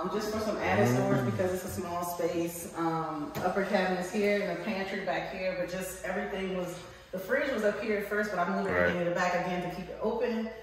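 Speaking at a fairly quick pace with hardly any pauses, a woman is heard in strong room echo and light background noise. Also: ordinary pitch variation. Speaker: owner showing her renovated rental unit. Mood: excited and proud. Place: home room. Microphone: phone near.

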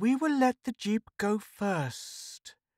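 Someone speaks at a fairly slow pace in a put-on character voice, on a very clean recording with a silent background. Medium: read story. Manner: purring, falsely courteous.

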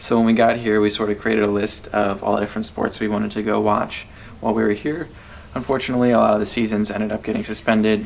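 A man with an American accent talks at a very fast pace. His intonation is flat and monotone, with light background noise. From USA. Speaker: travel vlogger. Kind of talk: casual chat. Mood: relaxed, friendly. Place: home room. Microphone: phone near.

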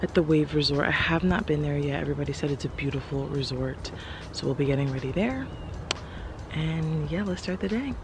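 A woman at a fairly quick pace, dry sound with no echo, and noticeable background noise. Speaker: makeup artist vlogger. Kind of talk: casual vlog chat. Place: street. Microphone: phone near.

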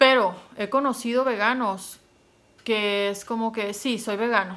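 A woman's bright, sharp tone carries ordinary pitch variation. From Mexico, Sonora. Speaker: YouTuber. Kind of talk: casual vlog monologue. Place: home room. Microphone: phone near.

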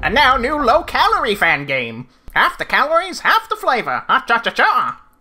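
Someone uses a put-on character voice pitched high. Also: moderate pace. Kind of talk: comic overacting. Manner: upbeat, salesy.

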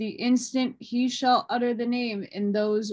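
Over a quiet background, a woman talks at a very slow pace with fairly even intonation. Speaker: reader of an old text. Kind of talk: reading aloud. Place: home room. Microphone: phone near.

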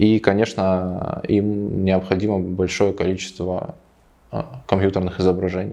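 This man's voice is very deep and low, moving at a fairly slow pace with monotone, flat intonation. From Ukraine, Kharkiv. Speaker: 3D visualizer and mentor. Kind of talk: interview testimonial.

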